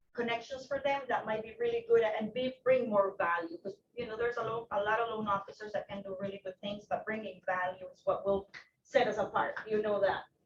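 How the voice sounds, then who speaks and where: A woman with a Spanish accent talks at a fairly quick pace and a fairly high pitch. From Ecuador. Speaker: loan officer. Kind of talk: self-introduction at office meeting. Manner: casual, animated.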